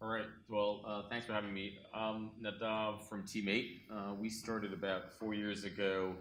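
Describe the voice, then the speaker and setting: A man with a fairly low pitch talks at a moderate pace with hardly any pauses. His intonation is monotone and flat, and audible room echo surrounds him. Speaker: cybersecurity company founder and investor. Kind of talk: conference panel talk.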